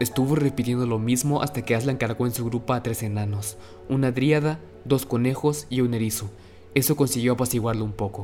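A man speaks at a fairly quick pace with a medium pitch. His pitch varies in an ordinary way, and music plays in the background. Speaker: audiobook narrator. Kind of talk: audiobook reading of a fantasy novel, narrated storytelling. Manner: vivid, dramatic narration with suspense, voicing characters' lines.

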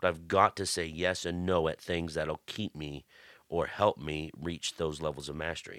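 Dry and close with no echo, a man's very deep, low voice moves at a moderate pace. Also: fairly even intonation, very clean recording, silent background. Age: 40s. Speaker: podcast host and pastor. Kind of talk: casual devotional talk. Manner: conversational with frequent fillers.

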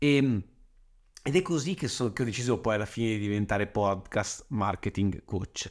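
A man talks at a fairly slow pace with lively intonation and hardly any pauses. The recording is very clean, with a silent background. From Lombardy, northern Italy (Saronno). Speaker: podcast marketing coach. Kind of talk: monologue podcast. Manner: casual, frequent hesitations and repetitions.

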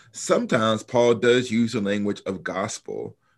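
A man's normal speaking voice with an American accent, medium pitch and ordinary pitch variation, on a very clean recording with a silent background. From US South, Alabama. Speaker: New Testament professor and author. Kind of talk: interview.

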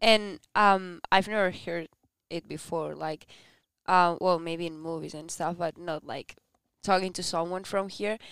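A woman with a Spanish accent speaks at a fairly slow pace and a fairly low pitch, with fairly even intonation and big swings in loudness. The very clean recording has a silent background and a dry, close sound with no echo. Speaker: exchange student, podcast co-host. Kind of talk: casual chat.

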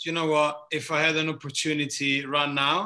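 A man speaks with an Italian accent. His pitch is fairly high and his pace moderate. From southern Italy. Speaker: bartender. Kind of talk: casual chat. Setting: video call.

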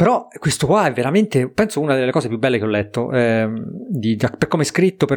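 Here a man with a fairly high pitch talks at a moderate pace. His intonation is lively. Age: 40s. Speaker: podcast co-host. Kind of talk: casual chat. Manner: halting, repeats words.

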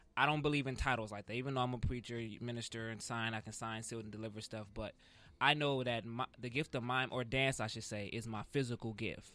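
A man speaks at a fairly quick pace in an ordinary speaking voice, with medium pitch and fairly even intonation. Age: 20s. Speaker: mime artist and preacher. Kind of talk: casual podcast interview. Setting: studio.

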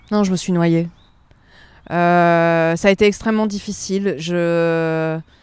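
A woman talks at a very slow pace in a monotone, flat intonation with long, frequent pauses. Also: fairly low pitch for a woman. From Provence, southern France. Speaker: journalist. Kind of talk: interview, casual chat. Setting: outdoors, walking in a park.

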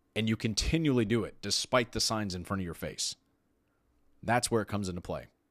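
Speaking with an American accent at a fairly quick pace, a man has an ordinary speaking voice with a fairly low pitch in a very clean recording with a silent background. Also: ordinary pitch variation. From Texas. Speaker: podcast host. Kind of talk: solo podcast monologue.

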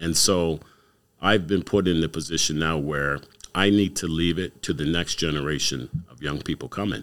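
This man has a very deep, low voice and ordinary pitch variation, speaking at a moderate pace. The recording is very clean, with a silent background. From Canada, Windsor, Ontario. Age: 60s. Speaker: community youth worker. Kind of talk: casual interview.

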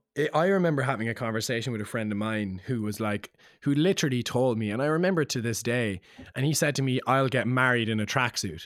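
A man in a Cork accent at a medium pitch, very fast pace and lively intonation, on a very clean recording with a silent background. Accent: Cork Irish. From Ireland, Cork. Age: 20s. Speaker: singer-songwriter. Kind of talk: casual chat.

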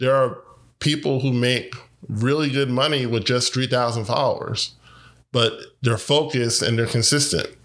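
In a plain, everyday voice, a man speaks at a moderate pace with fairly even intonation and very even loudness. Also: medium pitch for a man. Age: 40s. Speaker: podcast host and life coach. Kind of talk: motivational monologue.

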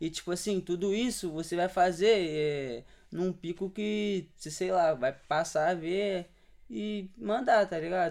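Speaking very slowly, a man talks with a high pitch. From Serra, Espírito Santo, Brazil. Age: 20s. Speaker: street artist. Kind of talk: casual chat.

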